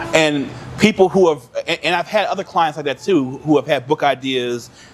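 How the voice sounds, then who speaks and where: A man with an American accent speaks at a moderate pace in a fairly high pitch, with ordinary pitch variation and noticeable background noise. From Cleveland, Ohio. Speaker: educator, author and consultant. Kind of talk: podcast interview answer.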